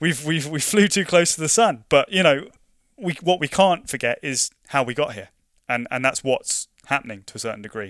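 A man with a London accent speaks at a moderate pace in a fairly high voice, his intonation lively and his loudness swinging widely, on a dry, close recording with no echo. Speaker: invasive species project officer. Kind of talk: interview. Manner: repeats words often, halting.

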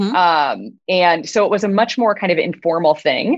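Here is a woman with a plain, everyday voice and an American accent, her pitch medium. She moves at a moderate pace with lively intonation. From US Midwest. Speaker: biotech CEO. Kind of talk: interview.

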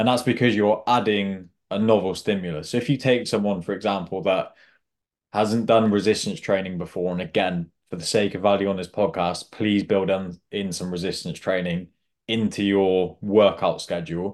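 An ordinary speaking voice from a man, fairly low in pitch, with fairly even intonation at a moderate pace over a quiet background. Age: 20s. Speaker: executive health coach. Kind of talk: interview.

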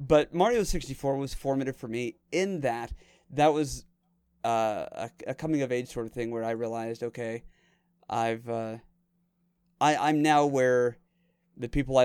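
Recorded very cleanly with a silent background, a man at medium pitch speaks in a playful tone at a moderate pace, with ordinary pitch variation, big swings in loudness, and long, frequent pauses. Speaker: podcast host. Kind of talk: casual chat. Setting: Discord call. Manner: joking, playful.

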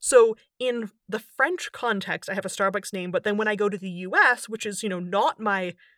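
A woman talks at a fairly quick pace with a fairly high pitch and ordinary pitch variation, in an unremarkable speaking voice. The recording is very clean and dry, with a close sound, no echo and a silent background. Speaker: linguist and author. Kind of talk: casual interview chat.

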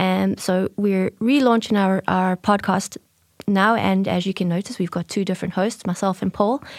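Recorded very cleanly with a silent background and a dry, close sound with no echo, a woman speaks at medium pitch. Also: fairly even intonation, moderate pace. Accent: South African. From South Africa. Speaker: marketing manager and podcast co-host. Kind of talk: casual chat.

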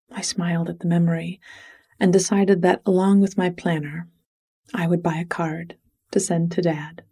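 Fairly low in pitch and somewhat breathy, a woman speaks in a dark, mellow tone with monotone, flat intonation and long, frequent pauses. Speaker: bedtime story podcast host and writer. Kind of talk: bedtime story reading. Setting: studio. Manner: soft, sleepy; slow.

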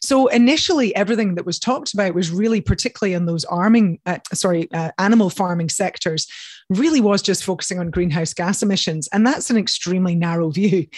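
Barely pausing, a woman talks very fast in a somewhat breathy voice at medium pitch with lively intonation. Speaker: dietitian and nutrition scientist. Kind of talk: interview.

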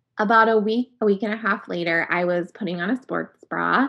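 A woman with an American accent and an unremarkable speaking voice, medium pitch and ordinary pitch variation, against a quiet background. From US Upper Midwest (North Dakota, Minnesota). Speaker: magazine digital editor, cancer survivor. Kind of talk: personal story in interview.

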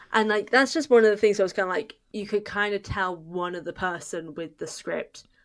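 A woman with a British accent and ordinary pitch variation. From Britain. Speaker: podcast host and author. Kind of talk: casual chat.

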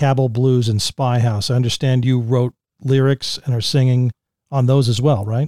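A man speaks at a moderate pace and medium pitch. The very clean recording has a silent background and a dry, close sound with no echo. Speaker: podcast host. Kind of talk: podcast interview. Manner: enthusiastic.

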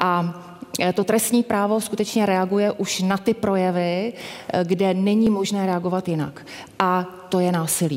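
Amid noticeable background noise, a woman speaks at a fairly slow pace, with very even loudness and fairly even intonation. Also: medium pitch for a woman. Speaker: chief public prosecutor. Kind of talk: panel discussion.

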